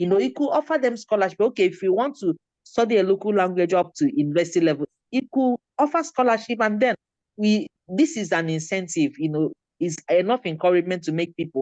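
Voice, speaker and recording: A woman speaks very fast at a medium pitch, her voice swinging very widely up and down, in a dry, close recording with no echo. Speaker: author and education advocate. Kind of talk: panel discussion.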